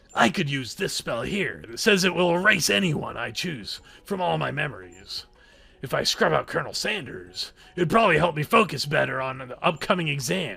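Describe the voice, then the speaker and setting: A man puts on a character voice with a fairly high pitch. He keeps a moderate pace while his pitch swings very widely. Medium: game stream. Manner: earnest, dramatic.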